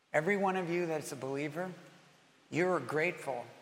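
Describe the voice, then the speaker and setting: Speaking at a medium speed, a man lets his pitch vary in a normal way while room echo is audible. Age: 60s. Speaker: pastor. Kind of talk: sermon. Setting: church.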